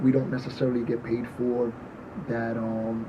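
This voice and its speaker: Amid noticeable background noise and audible room echo, a man with a New York accent talks at a medium pitch and fairly slow pace. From New York, the Bronx. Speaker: party promoter and artist. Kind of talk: casual chat.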